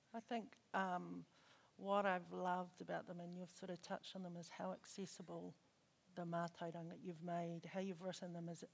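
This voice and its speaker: A woman speaks here. Her pitch sits fairly low. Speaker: session facilitator. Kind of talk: interview facilitation. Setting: stage with audience.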